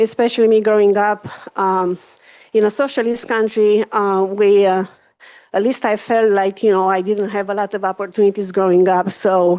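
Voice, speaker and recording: A woman speaks with a Romanian accent at a moderate pace and medium pitch, her intonation monotone and flat. The background is quiet. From Romania, Carpathian Mountains. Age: 50s. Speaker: hospital executive. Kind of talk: public presentation. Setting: community board meeting.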